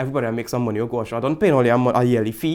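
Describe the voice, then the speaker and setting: Someone speaks at a very fast pace with an animated tone in a Trinidadian accent. The recording is very clean, with a silent background. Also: man. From Trinidad and Tobago. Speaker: tech vlogger. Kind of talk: product review vlog. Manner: casual, animated. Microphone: studio condenser mic.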